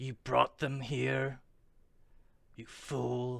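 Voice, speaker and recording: A man's put-on character voice at a medium pitch. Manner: angry, accusing.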